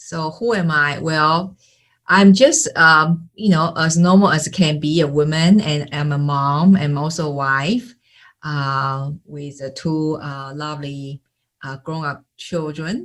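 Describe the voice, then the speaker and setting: A woman with a Taiwanese accent speaks at a very slow pace in a very deep, low pitch, her intonation fairly even but her loudness swinging widely. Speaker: sales and marketing coach. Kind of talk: interview. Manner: halting, many fillers.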